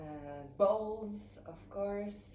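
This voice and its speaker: A woman with a French accent and ordinary pitch variation, in audible room echo. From French West Indies, Saint Barthélemy. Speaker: ceramics teacher. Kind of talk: tutorial.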